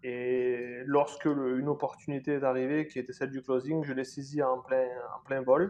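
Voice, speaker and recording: This man talks at a moderate pace. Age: 30s. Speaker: sales agency founder. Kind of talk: interview.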